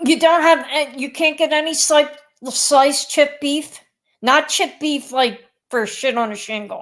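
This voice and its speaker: Speaking with a Philadelphia accent, a woman uses a high pitch and ordinary pitch variation at a fairly slow pace. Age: 60s. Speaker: teacher. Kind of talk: casual chat.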